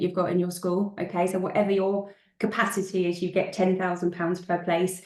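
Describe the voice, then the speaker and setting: A woman talks at a fairly quick pace in a medium pitch over noticeable background noise. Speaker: school finance consultant. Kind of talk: webinar presentation. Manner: fast.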